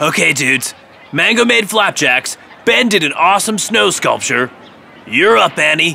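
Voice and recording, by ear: A man speaks at a fairly slow pace in a cartoonish character voice, pitched fairly high for a man. His tone is bright and sharp, with vocal fry. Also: lively intonation.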